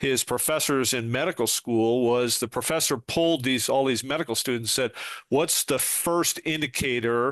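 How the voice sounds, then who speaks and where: An ordinary speaking voice from a man at medium pitch and a moderate pace, with fairly even intonation and very even loudness, in a dry, close sound with no echo against a quiet background. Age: 60s. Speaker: retired police sergeant and trainer. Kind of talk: podcast interview.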